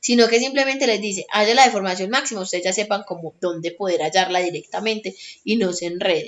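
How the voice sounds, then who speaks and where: Fairly quick speech from a woman, with ordinary pitch variation. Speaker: tutor. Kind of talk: tutorial. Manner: fast.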